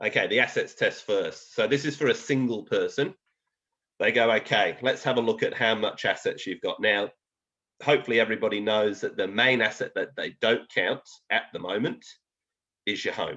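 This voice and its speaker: A man speaks at a moderate pace with a slight English accent. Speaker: financial planner presenter. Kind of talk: educational webinar presentation. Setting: online webinar. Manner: conversational, with fillers.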